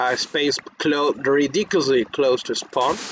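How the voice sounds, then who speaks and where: A non-native accent over noticeable background noise. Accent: non-native English, pronunciation unsure. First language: Spanish. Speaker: gaming youtuber. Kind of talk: casual gameplay commentary. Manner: halting, many restarts and fillers.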